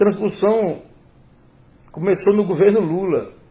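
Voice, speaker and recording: A man's dark, mellow tone. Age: 60s. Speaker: political commentator. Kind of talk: political commentary monologue. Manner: halting, with repetitions.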